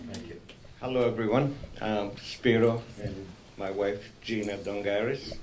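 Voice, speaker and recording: With a fairly low pitch and fairly even intonation, a man speaks amid noticeable background noise and audible room echo, his loudness swinging widely and his speech broken by long, frequent pauses. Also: fairly slow pace. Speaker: new member of a civic organization. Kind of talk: self-introduction at a conference.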